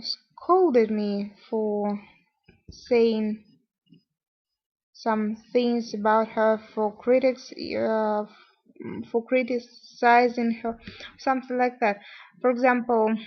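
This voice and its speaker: At a very slow pace, a woman with a non-native accent and a fairly high pitch speaks with ordinary pitch variation and long, frequent pauses. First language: not English. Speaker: vlogger. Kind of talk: personal vlog monologue. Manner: halting, many fillers.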